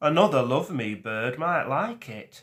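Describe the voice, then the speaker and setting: At a moderate pace, a man uses a rumbling, put-on character voice at a medium pitch, in a very clean recording with a silent background. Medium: read story. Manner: weary, grumbling.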